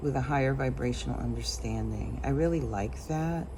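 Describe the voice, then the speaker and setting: Audible room echo surrounds a woman's voice. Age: 60s. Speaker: intuitive tarot card reader. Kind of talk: tarot reading monologue. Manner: casual, with frequent fillers.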